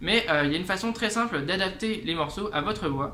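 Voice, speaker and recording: A raised, projected voice with audible room echo and noticeable background noise. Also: man. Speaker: guitar teacher and musician. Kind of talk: tutorial. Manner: casual, many hesitations.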